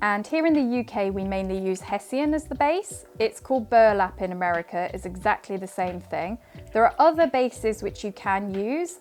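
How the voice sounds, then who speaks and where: Delivered at a moderate pace, the speech has a British accent and lively intonation. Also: woman. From UK. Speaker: craft teacher and author. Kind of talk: tutorial. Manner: casual, conversational.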